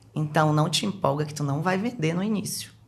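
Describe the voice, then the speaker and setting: In a Pará accent, a woman speaks at a moderate pace with an animated tone. Her voice is somewhat breathy. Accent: Pará accent, noticeable. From Brazil, Belém do Pará. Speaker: businesswoman, sales professional. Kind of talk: casual podcast interview.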